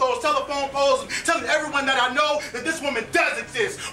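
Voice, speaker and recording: Over noticeable background noise, a man with an extremely high pitch speaks in a raised, projected voice at a fairly quick pace. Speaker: slam poet. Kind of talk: poetry slam performance. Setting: live stage.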